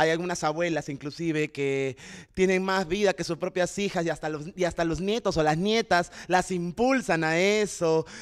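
Against a quiet background, a high-pitched man speaks at a moderate pace with ordinary pitch variation. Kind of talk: panel talk answering about a play. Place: stage. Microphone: handheld.

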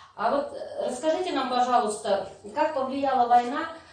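A woman speaks at a fairly slow pace in a high voice with ordinary pitch variation, and room echo is audible. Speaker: interviewer. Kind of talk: interview about wartime childhood. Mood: polite, respectful. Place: hall. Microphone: camera far.

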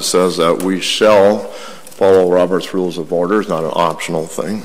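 This man's voice is very deep and low. It runs flat and monotone. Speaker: school board member. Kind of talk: public meeting debate. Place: meeting room. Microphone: podium.

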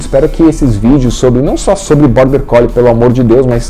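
A man talks with faint music in the background. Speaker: dog training channel host. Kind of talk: casual vlog outro to camera. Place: home room. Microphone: lapel.

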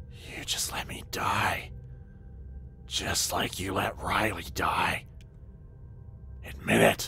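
A growling, put-on character voice at a very slow pace, full of long, frequent pauses, with music in the background. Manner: snarling, hateful.

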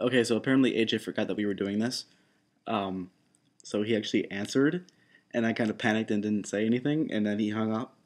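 Over a quiet background, a man speaks very fast at a fairly low pitch with fairly even intonation. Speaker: vlogger. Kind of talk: casual vlog chat, voicemail message. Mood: awkward, playful. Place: home room. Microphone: webcam.

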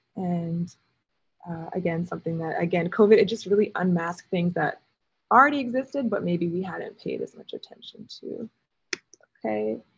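A somewhat breathy voice at a moderate pace, with lively intonation. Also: woman. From Alberta, Canada. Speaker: artist in residence. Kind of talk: artist talk presentation. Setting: video call from a lithography studio.

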